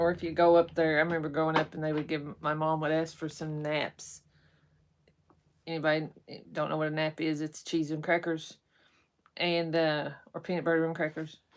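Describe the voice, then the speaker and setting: A woman with an Appalachian accent speaks fairly quickly at a very deep, low pitch, monotone and flat, with long, frequent pauses. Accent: Appalachian Kentucky. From eastern Kentucky (Hazard). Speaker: live-stream co-host, rockhound. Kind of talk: casual live-stream chat.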